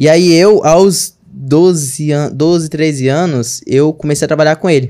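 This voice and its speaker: A man's fairly high pitch and dark, mellow tone come through with ordinary pitch variation against a quiet background. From Brazil, interior of Maranhão. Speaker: digital marketing entrepreneur; podcast guest. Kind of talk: casual chat. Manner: animated. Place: studio. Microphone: studio mic.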